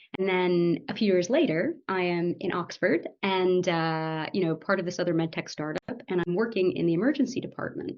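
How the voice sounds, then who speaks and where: In an ordinary speaking voice, a woman at medium pitch talks at a moderate pace with ordinary pitch variation and hardly any pauses. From United States. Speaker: medical doctor and startup founder. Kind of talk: podcast interview. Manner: conversational, with fillers.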